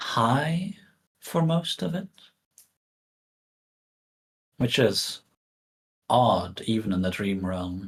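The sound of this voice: Doing a put-on character voice, a man speaks slowly at a fairly low pitch with a slightly husky edge and big pitch swings.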